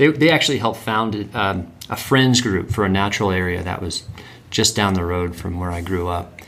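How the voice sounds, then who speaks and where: A man speaks in an American accent with an ordinary speaking voice. His pitch is fairly low, with ordinary pitch variation at a moderate pace. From North Carolina. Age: 30s. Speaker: land trust executive director. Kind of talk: casual interview.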